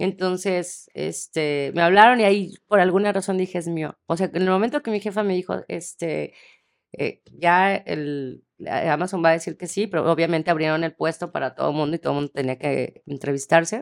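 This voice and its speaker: A woman with a normal speaking voice talks at a moderate pace, fairly low in pitch and with ordinary pitch variation. The recording is very clean with a silent background, and the sound is dry and close with no echo. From Mexico, Tepic (Nayarit). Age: 40s. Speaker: casting director. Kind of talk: interview.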